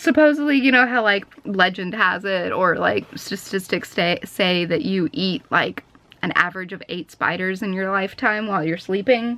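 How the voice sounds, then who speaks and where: A woman's medium-pitched voice with lively intonation, a moderate pace and hardly any pauses, over noticeable background noise. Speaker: vlogger. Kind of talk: casual vlog chat. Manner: loud, projecting; animated.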